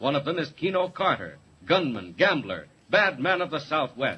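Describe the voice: A man talks at a moderate pace with a husky, rough edge, his pitch fairly high and swinging widely.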